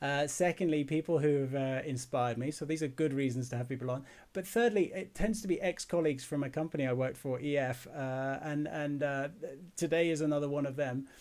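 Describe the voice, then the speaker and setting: An unremarkable speaking voice from a man, fairly high in pitch with ordinary pitch variation, at a fairly quick pace. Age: 40s. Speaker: podcast host. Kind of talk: casual interview.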